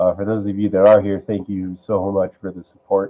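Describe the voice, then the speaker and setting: Fairly low in pitch, a man speaks at a moderate pace with a dark, mellow tone. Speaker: music producer streamer. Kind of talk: casual live stream chat. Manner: rambling, hesitant.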